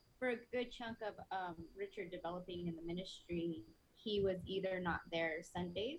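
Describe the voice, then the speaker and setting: A woman with an American accent uses a normal speaking voice at medium pitch. She keeps a moderate pace with ordinary pitch variation. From Prescott, Arizona. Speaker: pastor's wife. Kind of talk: testimony.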